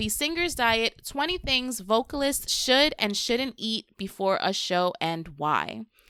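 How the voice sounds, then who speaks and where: This loud voice has a bright, sharp tone and moves at a very slow pace. The sound is dry and close with no echo, on a very clean recording over a silent background. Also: woman. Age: 30s. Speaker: podcast host. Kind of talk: casual chat. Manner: gets high-pitched when excited.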